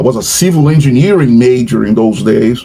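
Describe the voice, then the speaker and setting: With noticeable background noise behind him, a man speaks at a moderate pace using lively intonation. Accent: Portuguese. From Brazil. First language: Portuguese. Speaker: professor. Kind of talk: casual chat. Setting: video call. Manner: halting.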